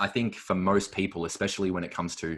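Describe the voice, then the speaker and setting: A speaker with an Australian accent talks at a fairly quick pace. The recording is very clean, with a silent background. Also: man. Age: 20s. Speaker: natural bodybuilder. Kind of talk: podcast interview answer. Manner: casual, reflective.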